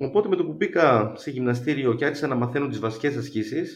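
A man speaks in an ordinary speaking voice. He keeps a moderate pace with lively intonation. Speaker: biochemist and runner. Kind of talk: interview.

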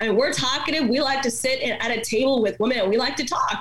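With noticeable background noise around her, the woman's pitch varies in an ordinary way. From born in India, raised in Dallas, Texas from age seven. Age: 30s. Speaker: pastor, speaker and author. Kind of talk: interview conversation.

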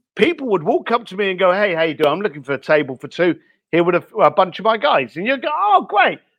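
A man's high voice at a very fast pace, animated in tone with very wide pitch swings. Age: 50s. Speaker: author and luxury experience creator. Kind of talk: interview.

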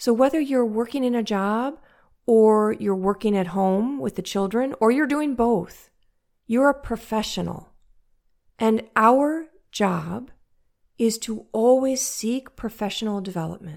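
Fairly high-pitched woman with an American accent, ordinary pitch variation, fairly slow pace, very clean recording with a silent background. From US Midwest, St. Louis, Missouri. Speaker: podcast host and life coach. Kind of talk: casual monologue.

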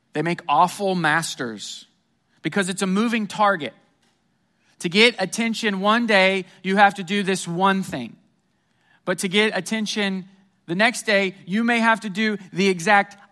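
Raising and projecting his high-pitched voice, a man with an American accent speaks at a fairly slow pace with a bright, sharp tone, ordinary pitch variation and long, frequent pauses. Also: very clean recording, silent background. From Missouri, US Midwest. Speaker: pastor. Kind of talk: sermon. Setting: church.

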